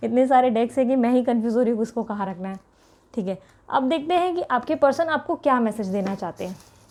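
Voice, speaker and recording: A woman's high-pitched voice with lively intonation at a moderate pace, on a very clean recording with a silent background. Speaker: tarot reader. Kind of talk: tarot reading for viewers. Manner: continuous talking.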